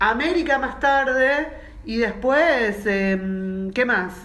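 In a Rioplatense accent, a woman talks at a high pitch with lively intonation, with audible room echo and noticeable background noise. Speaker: podcast co-host. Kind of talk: casual chat.

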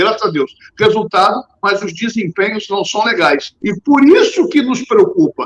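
A man's high voice with lively intonation. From Rio de Janeiro, Brazil. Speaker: journalist and radio presenter. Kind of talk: casual podcast chat about football.

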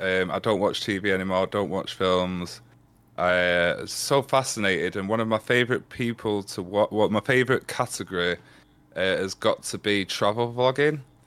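The recording is very clean and the background silent. It's an unremarkable speaking voice, with ordinary pitch variation. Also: man, fairly low pitch for a man, moderate pace. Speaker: Twitch streamer. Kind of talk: casual interview chat.

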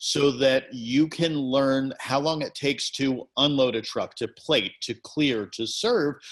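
This man has an ordinary speaking voice of medium pitch with ordinary pitch variation. He speaks at a fairly slow pace. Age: 50s. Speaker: wedding blogger and planner. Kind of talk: casual interview. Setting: remote call.

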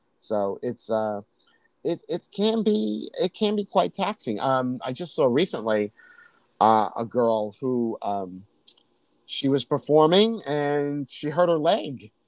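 In an American accent, a man speaks at a very slow pace with a fairly high pitch. His pitch swings very widely, and the sound is dry and close with no echo. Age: 50s. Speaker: drag queen. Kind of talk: casual chat.

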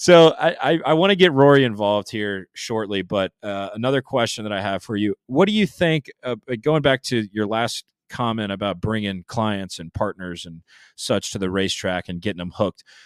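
Recorded very cleanly against a silent background with a dry, close sound and no echo, a man with an American accent and a plain, everyday voice speaks at a moderate pace and a fairly low pitch, his intonation lively and his loudness swinging widely. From Jacksonville, Florida. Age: 20s. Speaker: podcast host. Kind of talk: casual chat. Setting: mobile studio.

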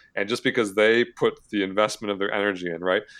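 A normal speaking voice from a man with an American accent, fairly low in pitch, at a fairly quick pace with fairly even intonation, against a quiet background. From Michigan, US Midwest. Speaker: personal finance influencer, early retiree. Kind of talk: casual interview.

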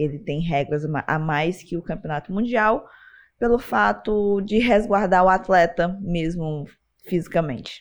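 A woman talks in a normal speaking voice, fairly low in pitch, with lively intonation. The background is quiet. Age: 20s. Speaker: MMA and Chinese boxing fighter. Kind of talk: casual interview chat.

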